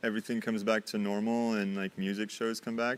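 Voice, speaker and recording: A man with an American accent, fairly low in pitch, in a monotone with flat intonation. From France. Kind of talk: casual interview chat.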